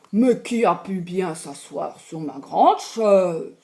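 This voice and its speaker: A growling put-on character voice sits at a middle pitch. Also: fairly slow pace. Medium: read story.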